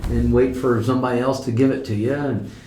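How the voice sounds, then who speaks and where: Moderate pace and ordinary pitch variation, with a Midwestern American accent and audible room echo. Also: man. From US Midwest (southwest Ohio). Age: 60s. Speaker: farmer. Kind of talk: oral history interview. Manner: hesitant, with many fillers and repeats.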